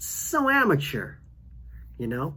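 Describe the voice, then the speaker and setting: There is audible room echo. A man talks at a very slow pace within it. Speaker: podcast host. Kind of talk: casual solo podcast monologue. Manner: halting.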